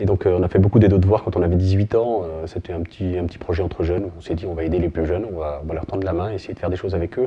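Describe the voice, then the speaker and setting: A man with a very deep, low voice, a very fast pace, hardly any pauses and fairly even intonation. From France, Burgundy (Côte-d'Or). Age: 40s. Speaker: sports club volunteer president. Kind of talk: interview testimony.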